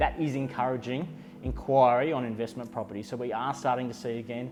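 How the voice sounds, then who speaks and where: A man rushes through his words at a very fast pace while music plays in the background. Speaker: auctioneer. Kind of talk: corporate market-update talk to camera. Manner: measured, confident, conversational.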